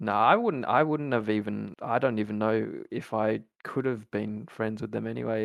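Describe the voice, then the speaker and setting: In an Australian accent, a man with a fairly low pitch speaks at a fairly slow pace with fairly even intonation. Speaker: university student. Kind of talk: casual chat.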